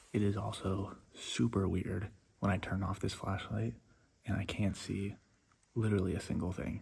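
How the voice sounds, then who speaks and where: Whispering with vocal fry, a man goes at a moderate pace. He leaves long, frequent pauses. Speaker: wildlife vlogger, herper. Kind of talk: outdoor vlog narration. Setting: outdoors, inside a cave. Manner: whispering in the cave; casual, with fillers.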